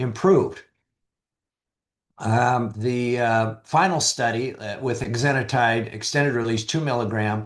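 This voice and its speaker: Speaking at a fairly slow pace, a man uses a plain, everyday voice at medium pitch with ordinary pitch variation. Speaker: physician presenter. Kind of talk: lecture.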